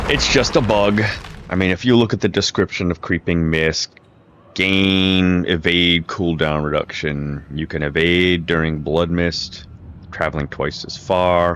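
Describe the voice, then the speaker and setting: Pitch varies in an ordinary way as the speech proceeds at a fairly slow pace. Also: man, very deep, low pitch for a man. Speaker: gaming youtuber. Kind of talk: gameplay tutorial. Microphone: crackling noise from microphone.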